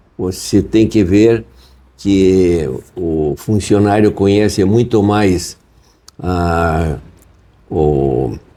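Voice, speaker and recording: Very deep and low in pitch, a man talks at a very slow pace with ordinary pitch variation and long, frequent pauses. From southern Brazil, Curitiba. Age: 80s+. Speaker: bookseller. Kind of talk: interview. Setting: in his bookshop. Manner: halting, many fillers.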